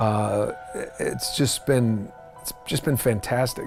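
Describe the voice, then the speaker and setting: Background music can be heard throughout. Over it, a man is talking. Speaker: voice actor. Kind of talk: interview answer.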